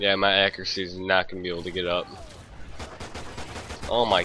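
Through noticeable background noise, a man with a very deep, low pitch talks at a fairly quick pace, broken by long, frequent pauses. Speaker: gamer. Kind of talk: gameplay commentary. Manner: casual, excitable.

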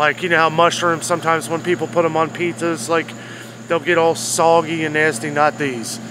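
A man speaks at a moderate pace with a dry sound and no echo. Noticeable background noise is present. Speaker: food vlogger. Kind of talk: casual food review vlog. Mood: enthusiastic, relaxed. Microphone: phone near.

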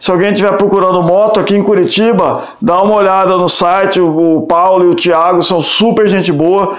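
Audible room echo surrounds a man speaking at a high pitch and moderate pace with fairly even intonation. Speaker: motorcycle vlogger. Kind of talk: casual vlog chat. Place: home room. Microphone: camera far.

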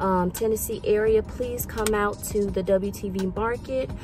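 A woman talks at a fairly slow pace. The sound is dry with no echo, with noticeable background noise. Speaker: thrift vlogger, reseller. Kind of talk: casual vlog chat. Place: car. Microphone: phone near.

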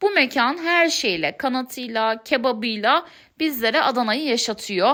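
A woman speaks at a high pitch in a bright, sharp tone. Her intonation is lively. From Turkey, Eskişehir. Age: 30s. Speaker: food vlogger. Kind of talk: vlog narration.

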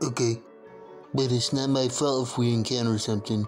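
A man does a cartoonish character voice at a medium pitch and moderate pace. Music plays clearly in the background. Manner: hesitant.

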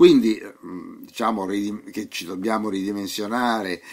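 A man's fairly low-pitched voice. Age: old. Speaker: radio show host. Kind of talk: monologue talk on science and spirituality. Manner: halting, with frequent fillers.

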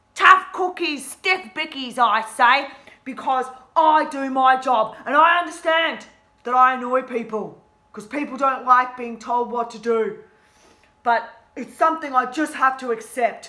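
A woman's raised, projected voice, fairly slow, with ordinary pitch variation, against a quiet background. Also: big swings in loudness. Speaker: teacher acting a character. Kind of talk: in-character teaching demonstration. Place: classroom. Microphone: phone near.

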